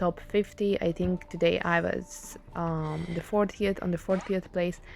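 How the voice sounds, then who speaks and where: A woman's voice sits at a fairly low pitch with ordinary pitch variation. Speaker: gaming youtuber. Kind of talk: gameplay commentary. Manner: casual with many fillers.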